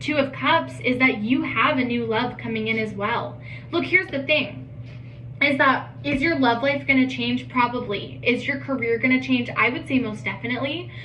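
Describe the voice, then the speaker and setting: Noticeable background noise and audible room echo accompany the voice of a woman. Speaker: tarot reader. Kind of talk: tarot reading monologue. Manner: fast; animated.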